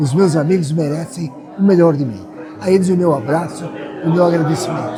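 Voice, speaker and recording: Over music in the background and with audible room echo, a man speaks at a high pitch and a moderate pace. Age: 80s+. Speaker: writer and retired judge. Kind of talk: acceptance speech. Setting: academy auditorium event with audience.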